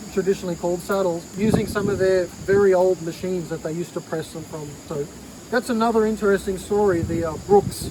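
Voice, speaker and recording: A man with an Australian accent talks loudly at a fairly quick pace in a high pitch with ordinary pitch variation. Noticeable background noise is present. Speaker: vintage goods dealer. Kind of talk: casual show-and-tell video.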